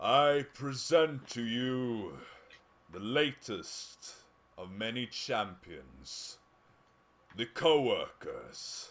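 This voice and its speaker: Booming in a put-on character voice, a man with a medium pitch goes at a very slow pace with long, frequent pauses. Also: lively intonation. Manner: grand, proclaiming.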